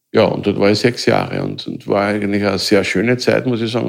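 On a very clean recording with a silent background, a man speaks at a fairly low pitch. His voice has vocal fry and ordinary pitch variation. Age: 60s. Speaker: mobbing victim, self-help group founder. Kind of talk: personal testimony. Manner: halting.

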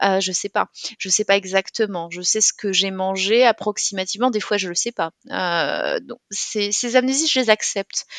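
A woman speaks with an unremarkable speaking voice at a medium pitch. Her pace is fairly slow and her pitch variation ordinary. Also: dry, close sound with no echo. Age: 30s. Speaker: bank manager and author living with dissociative identity disorder. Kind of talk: interview testimony.

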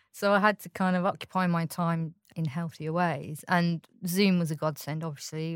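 A woman speaks at a fairly quick pace with fairly low pitch and fairly even intonation, in an unremarkable speaking voice, on a very clean recording with a silent background. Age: 40s. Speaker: recovering gambling addict. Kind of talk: testimony.

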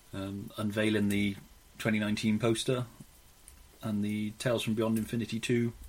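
Using long, frequent pauses, a man with a British accent and a fairly low pitch speaks with monotone, flat intonation. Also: moderate pace. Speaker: podcast co-host. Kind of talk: casual banter podcast chat.

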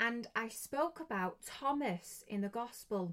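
A woman speaks in an English accent at a fairly high pitch. Her pitch varies in an ordinary way. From England. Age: 20s. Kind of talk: religious podcast talk.

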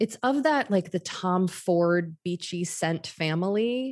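Against a quiet background, a woman with a normal speaking voice talks at a fairly low pitch with lively intonation. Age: 30s. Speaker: podcast host. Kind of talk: casual chat.

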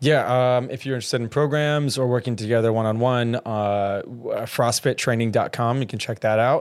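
In an ordinary speaking voice with an American accent, a man at medium pitch talks at a moderate pace with fairly even intonation, on a very clean recording with a silent background. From US South, Georgia. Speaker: fitness trainer. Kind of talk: casual chat. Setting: studio.

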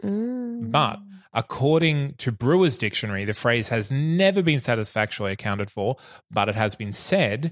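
On a very clean recording with a silent background, a man with an unremarkable speaking voice talks at a moderate pace with lively intonation. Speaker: producer and co-host. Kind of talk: casual chat.

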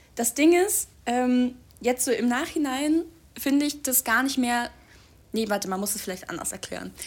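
A woman with a high voice talks at a moderate pace in a very clean recording with a silent background. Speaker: podcast co-host, student. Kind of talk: casual chat. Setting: home recording in a flat.

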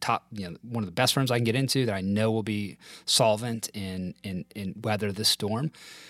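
In an ordinary speaking voice, a man talks at a moderate pace with a fairly low pitch and fairly even intonation, on a very clean recording with a silent background and a dry, close sound with no echo. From US South. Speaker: former corporate lawyer. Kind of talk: casual interview.

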